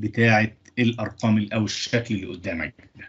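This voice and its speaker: A man in an Egyptian accent, medium pitch, somewhat breathy, over a quiet background. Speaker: engineering lecturer. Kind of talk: lecture. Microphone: video call.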